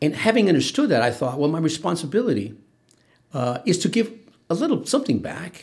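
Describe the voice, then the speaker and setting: Speaking at a fairly quick pace in an American accent, a man uses a high pitch with very wide pitch swings. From Imperial County, Southern California. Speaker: legal aid director, lawyer. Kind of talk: interview. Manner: hesitant, many fillers.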